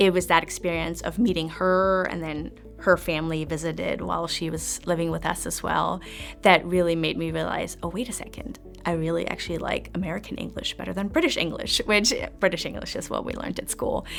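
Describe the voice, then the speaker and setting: With music in the background, a woman in a German accent talks at a fairly quick pace. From East Germany. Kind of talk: interview answer.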